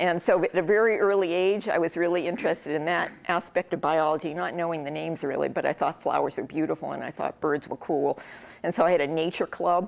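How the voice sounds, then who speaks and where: In a New England accent, a woman talks at a very fast pace with vocal fry, a fairly low pitch and fairly even intonation. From New England, Worcester, Massachusetts. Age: 60s. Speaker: professor. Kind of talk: casual talk to an audience. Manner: many filler ums, conversational.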